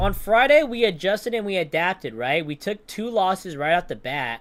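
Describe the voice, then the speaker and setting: Very wide pitch swings are heard in a very clean recording with a silent background. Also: man. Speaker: day trader streamer. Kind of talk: live stream commentary. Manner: animated.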